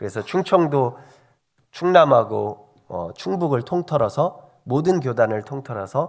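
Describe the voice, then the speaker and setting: A man speaks at a fairly slow pace with vocal fry and very wide pitch swings. The recording is very clean, with a silent background. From Korea, Chungcheong province (Hongseong). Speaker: pastor. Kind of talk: sermon. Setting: church. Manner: conversational, many fillers.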